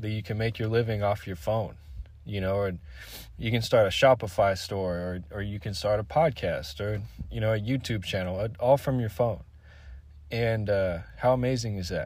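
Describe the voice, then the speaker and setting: At a moderate pace, a man with an American accent speaks in a somewhat breathy voice on a very clean recording with a silent background. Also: fairly low pitch for a man, ordinary pitch variation. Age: 20s. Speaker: solo podcaster. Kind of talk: casual monologue. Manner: hesitant, many fillers and repeats.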